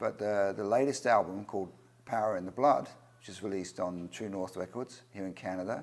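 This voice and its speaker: A man with a fairly low pitch and an English accent. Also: ordinary pitch variation, fairly quick pace, big swings in loudness. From England. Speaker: record producer and singer-songwriter. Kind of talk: interview.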